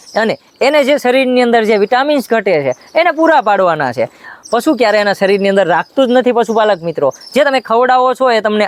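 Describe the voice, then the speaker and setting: A man's extremely high-pitched voice with ordinary pitch variation, dry and close with no echo. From Gujarat, Botad district (Saurashtra). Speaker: artificial insemination technician. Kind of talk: tutorial.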